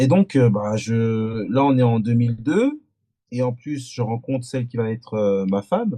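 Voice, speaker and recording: The voice is dark and mellow in tone, moving at a fairly slow pace. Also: man. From France, Antillean family. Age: 40s. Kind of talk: podcast interview testimony. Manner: halting, many hesitations and repetitions.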